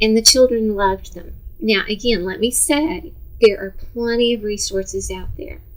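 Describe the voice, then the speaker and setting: Speaking at a fairly slow pace with an American accent, a woman is heard over noticeable background noise. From Texas, Dallas. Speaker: retired teacher. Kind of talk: instructional talk to parents. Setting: seated on a sofa.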